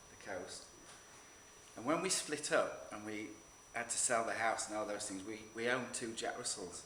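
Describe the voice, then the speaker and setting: There is noticeable background noise here. A man speaks with audible room echo around him. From northern England. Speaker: photographer. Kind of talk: talk to an audience. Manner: halting, with repeated words.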